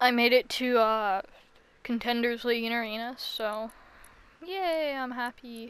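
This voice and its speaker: In a deadpan tone, a woman with a high pitch talks at a fairly slow pace, leaving long, frequent pauses. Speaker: gaming streamer. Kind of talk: gameplay commentary.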